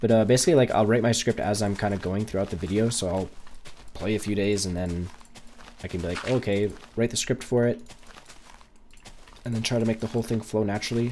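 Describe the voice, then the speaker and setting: A very fast pace with a Canadian accent and fairly even intonation, over noticeable background noise. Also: man. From Canada. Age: 20s. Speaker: gaming streamer. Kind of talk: live gameplay stream chat. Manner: casual, hesitant with fillers.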